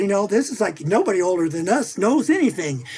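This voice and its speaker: A high-pitched man with an American accent speaks at a very fast pace and with lively intonation over noticeable background noise. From US Midwest, central Missouri. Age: 60s. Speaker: image consultant and author. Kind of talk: interview. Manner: animated, conversational.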